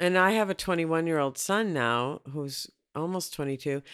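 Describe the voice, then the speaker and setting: Recorded very cleanly over a silent background, a normal speaking voice with an American accent moves at a moderate pace. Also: woman. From Minneapolis, US Midwest. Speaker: author and relationship expert. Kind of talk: casual interview.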